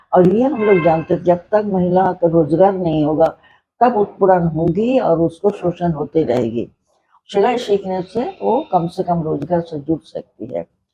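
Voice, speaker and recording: A woman's somewhat breathy voice rises and falls with lively intonation. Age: 80s+. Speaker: social worker. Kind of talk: interview answer.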